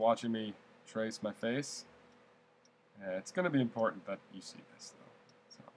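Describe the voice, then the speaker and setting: A man's normal speaking voice, with medium pitch and big swings in loudness. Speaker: art teacher. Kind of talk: tutorial.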